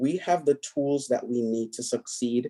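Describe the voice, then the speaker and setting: This man's voice sits at a medium pitch. His tone is dark and mellow. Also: dry, close sound with no echo. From Jamaica. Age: young. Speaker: political candidate. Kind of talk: debate closing statement.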